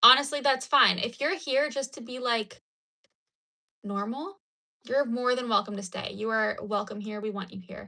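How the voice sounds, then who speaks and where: A woman with an American accent uses a normal speaking voice at a fairly high pitch. She keeps a moderate pace with ordinary pitch variation. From United States. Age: 20s. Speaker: crochet livestreamer. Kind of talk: casual chat. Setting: livestream at home.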